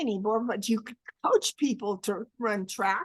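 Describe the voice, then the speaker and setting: A woman's bright, sharp, raised and projected voice at a fairly slow pace. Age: 70s. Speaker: life coach. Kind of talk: interview answer.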